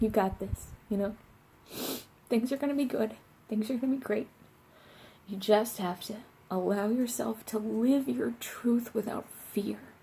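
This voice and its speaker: A woman's fairly high, somewhat breathy voice with a dark, mellow tone, ordinary pitch variation and a moderate pace. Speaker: tarot reader. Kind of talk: tarot reading to camera. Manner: casual, filler-heavy.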